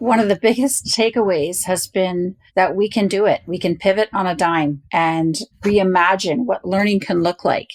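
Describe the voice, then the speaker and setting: The sound is dry and close with no echo as a woman speaks in a plain, everyday voice. Her medium pitch shows ordinary variation, and her pace is moderate. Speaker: university parent program director. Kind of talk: interview.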